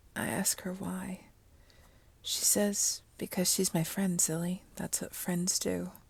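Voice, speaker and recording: A woman speaks at medium pitch with fairly even intonation. Her voice is somewhat breathy, and her pace is fairly slow. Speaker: story narrator / ASMR channel host. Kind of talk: story reading, melancholy first-person narration. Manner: soft, melancholic, subdued.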